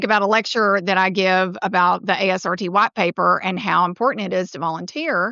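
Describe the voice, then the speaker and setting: A woman speaks at a fairly quick pace in a medium pitch, with ordinary pitch variation. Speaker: podcast host. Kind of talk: podcast interview. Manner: loud.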